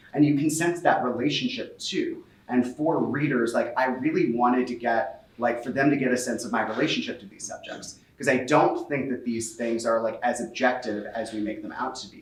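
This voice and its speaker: A man with an American accent talks at a medium pitch, with fairly even intonation and hardly any pauses. His loudness swings a lot. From US Midwest, Cincinnati. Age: 30s. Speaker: author. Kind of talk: book talk conversation. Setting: in-person event with audience. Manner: fast.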